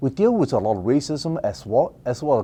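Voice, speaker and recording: A man speaks with a Mandarin accent. His tone is dark and mellow. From Taiwan, then Richmond BC from age eleven. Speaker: political candidate. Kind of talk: interview. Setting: office studio. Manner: fast when nervous.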